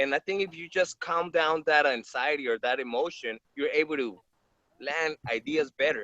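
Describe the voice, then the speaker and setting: With a Spanish accent, a man speaks fairly slowly in a fairly high, bright, sharp voice with ordinary pitch variation, the sound dry and close with no echo. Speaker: actor. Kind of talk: casual chat. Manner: halting, repeats words.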